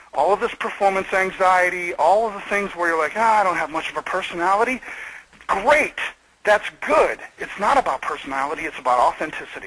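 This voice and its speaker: Loud and animated, a man with an American accent speaks at a high pitch and fairly quick pace, his intonation lively over noticeable background noise. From US Midwest, Michigan. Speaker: video marketing expert. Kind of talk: webinar interview. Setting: webinar call.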